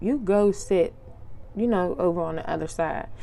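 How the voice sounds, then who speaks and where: A woman's voice carries a dark, mellow tone. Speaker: podcast host. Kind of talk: casual monologue podcast. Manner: casual, filler-heavy.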